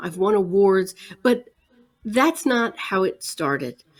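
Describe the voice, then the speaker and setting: A woman speaks in a normal speaking voice at a medium pitch. Her pace is fairly slow and her intonation lively. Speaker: motivational speaker, author and coach. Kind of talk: interview answer. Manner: earnest, inspirational.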